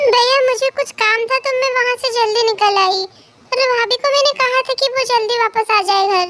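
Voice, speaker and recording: A put-on character voice at a fairly quick pace, its loudness very even throughout. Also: woman, extremely high pitch for a woman. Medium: read story. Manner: chatty, emotionally expressive.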